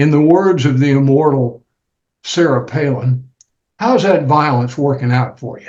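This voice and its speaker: A man with an American accent speaks at a fairly high pitch, with ordinary pitch variation. His voice is somewhat breathy. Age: 80s+. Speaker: retired lawyer. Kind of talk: casual chat. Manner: halting.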